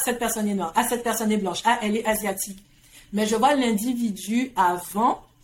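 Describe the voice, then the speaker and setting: At a moderate pace, a woman with a fairly high pitch and ordinary pitch variation talks over noticeable background noise. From Guadeloupe. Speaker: entrepreneur and coach. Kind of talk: casual interview conversation.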